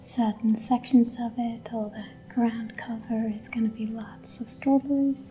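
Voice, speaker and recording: Soft-spoken and calm, a woman talks at a fairly slow pace with music in the background. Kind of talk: ASMR homestead vlog, casual talk to camera. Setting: outdoors in a garden, with ambient nature sounds and quiet background music. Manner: soft-spoken, calm, slow.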